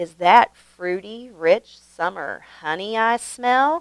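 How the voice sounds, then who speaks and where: A woman puts on a booming character voice at medium pitch. She speaks at a very slow pace. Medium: read story.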